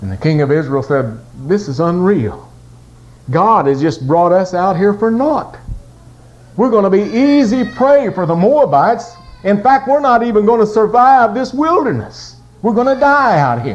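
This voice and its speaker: A man's high-pitched voice with a dramatic, warm tone and very wide pitch swings, at a moderate pace, over noticeable background noise. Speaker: pastor and gospel singer. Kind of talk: Sunday morning sermon retelling a Bible story. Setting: church service with congregation. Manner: dramatic storyteller, voicing kings' dialogue in a vivid narrative; folksy and warm, joking with the congregation.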